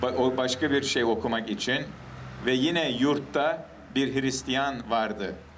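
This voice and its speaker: Amid light background noise, a man speaks at a very slow pace with fairly even intonation and very even loudness. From United States and Canada. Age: 50s. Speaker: testimony speaker. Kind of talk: personal testimony to an outdoor audience. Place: street. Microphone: handheld.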